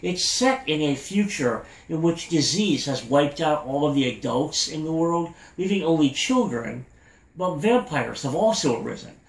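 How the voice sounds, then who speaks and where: Over noticeable background noise, a man with a fairly high pitch talks at a moderate pace, his pitch swinging very widely. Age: 40s. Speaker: anime podcast host. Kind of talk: podcast news update.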